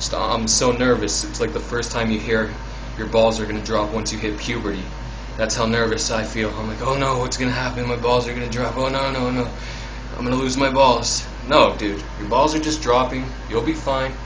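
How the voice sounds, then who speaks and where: A man talks fairly quickly while noticeable background noise carries on behind him. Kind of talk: casual vlog chat. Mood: nervous, excited. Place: bathroom. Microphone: phone near.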